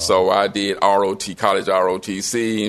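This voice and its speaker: A man with a Southern US accent and a fairly low-pitched voice. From Memphis, Tennessee. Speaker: retired professor and pastor. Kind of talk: interview storytelling. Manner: warm, enthusiastic.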